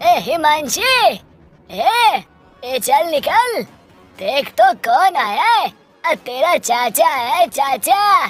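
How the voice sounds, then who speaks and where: A woman uses a put-on character voice at a very slow pace while faint music plays in the background. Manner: loud, angry, shouting.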